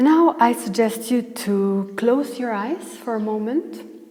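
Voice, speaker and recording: Against noticeable background noise, a woman with a non-native accent speaks with very wide pitch swings. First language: not English. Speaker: tarot reader. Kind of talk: tarot reading.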